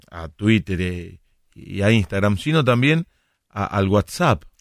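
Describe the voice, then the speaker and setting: On a very clean recording with a silent background, a man with a fairly low pitch speaks fairly slowly with lively intonation. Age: 40s. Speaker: radio host and sports commentator. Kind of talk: casual chat.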